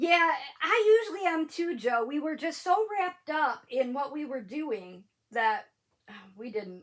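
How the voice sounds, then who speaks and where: Speaking at a fairly slow pace, a woman uses a high pitch with very wide pitch swings. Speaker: crafting livestream host. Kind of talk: casual livestream chat reading comments. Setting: live stream at home. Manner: less enunciated.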